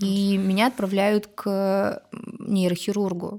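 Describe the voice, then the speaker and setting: The recording is very clean, with a silent background behind a woman's dark, mellow tone. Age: 30s. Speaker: pediatric doctor and mother of four. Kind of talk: casual chat.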